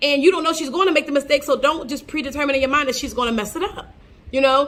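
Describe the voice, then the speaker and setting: A woman with a high-pitched voice talks very fast with ordinary pitch variation, and there is noticeable background noise. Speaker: podcast host. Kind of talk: casual podcast monologue.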